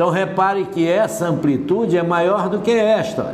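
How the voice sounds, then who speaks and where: A man with a high-pitched voice talks through audible room echo and noticeable background noise. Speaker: physics teacher. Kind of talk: lecture.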